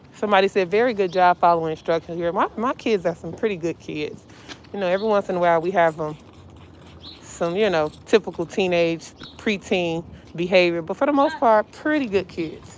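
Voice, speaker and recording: Over light background noise, a woman speaks at a fairly quick pace with lively intonation, the sound dry and free of echo. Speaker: dumpster diving vlogger. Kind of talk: casual vlog narration. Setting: outdoors and in a car.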